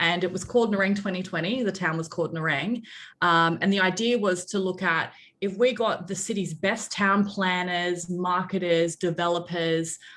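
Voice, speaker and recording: At a moderate pace and medium pitch, a woman with an Australian accent speaks with fairly even intonation against a quiet background. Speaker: public relations agency director. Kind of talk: interview.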